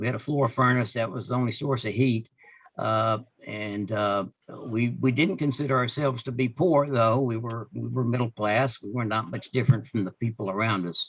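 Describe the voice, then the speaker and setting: At a moderate pace, a man with an American accent talks at a medium pitch with ordinary pitch variation. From Northeast Texas. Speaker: Rotary club member giving life story. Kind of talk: personal life story at a club meeting. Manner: halting, many fillers.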